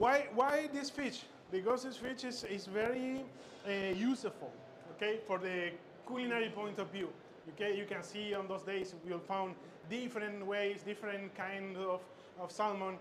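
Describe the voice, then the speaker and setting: A man's high-pitched voice with ordinary pitch variation at a moderate pace, with audible room echo and noticeable background noise. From Chile. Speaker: chef instructor. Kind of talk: cooking demonstration. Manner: halting, many fillers and repetitions.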